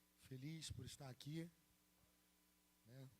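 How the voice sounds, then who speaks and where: A man speaks at a fairly slow pace with a somewhat breathy voice. His pitch is medium and varies in an ordinary way. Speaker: pastor. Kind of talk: sermon.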